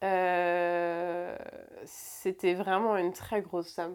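The recording is very clean, its background silent. A woman does the talking. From France, Rouen. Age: 20s. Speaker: barista. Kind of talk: personal testimony interview. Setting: home bedroom.

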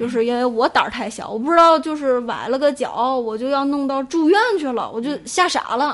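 A woman speaks at a fairly quick pace with hardly any pauses, her high voice moving with ordinary pitch variation. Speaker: podcast guest. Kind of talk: casual chat.

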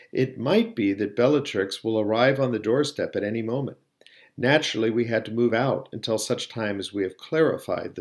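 With ordinary pitch variation, a natural reading voice carries the clip.

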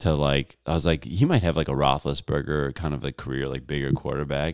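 With an American accent, a man speaks at a very deep, low pitch with vocal fry. His intonation is fairly even, and the sound is dry and close, with no echo. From Chicago. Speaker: comedian. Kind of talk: casual chat.

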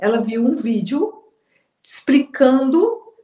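The woman's pitch is high. Her intonation is lively. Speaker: psychologist and therapy trainer. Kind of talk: casual interview. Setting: live stream.

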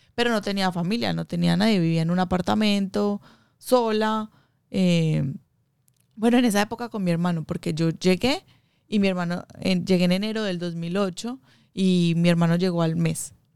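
A normal speaking voice keeps a moderate pace, its pitch varying in an ordinary way. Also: woman, medium pitch for a woman. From Colombia, Medellín. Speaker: small business owner, baker. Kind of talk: interview.

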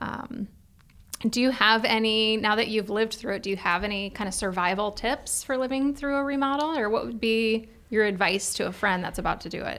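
A woman with a normal speaking voice, fairly quick pace and ordinary pitch variation. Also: fairly high pitch for a woman. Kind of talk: radio talk show chat, guest interview. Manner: friendly, easygoing, conversational.

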